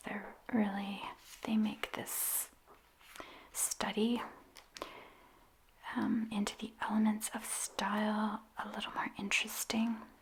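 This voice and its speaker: Soft-spoken and whispering, a woman talks at a very slow pace with long, frequent pauses over noticeable background noise. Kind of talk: ASMR soft-spoken ramble about writing and books. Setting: close-mic studio ASMR recording. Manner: soft-spoken, whispered, slow.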